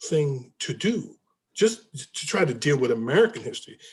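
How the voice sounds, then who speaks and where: A man's fairly high, somewhat breathy voice at a fairly slow pace, with very wide pitch swings. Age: 70s. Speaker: book discussion leader. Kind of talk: group discussion. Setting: video call. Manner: halting.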